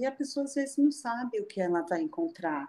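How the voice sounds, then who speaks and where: Her tone dark and mellow, a woman speaks at a high pitch with very wide pitch swings. She keeps a moderate pace. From Rio de Janeiro, then Brasília from 13. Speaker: photographer and traveler. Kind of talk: casual interview. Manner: animated.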